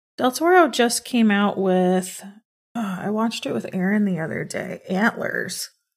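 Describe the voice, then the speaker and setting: Somewhat breathy, a woman talks at a medium pitch with ordinary pitch variation. Her pace is fairly slow. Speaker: podcast co-host. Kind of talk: casual chat.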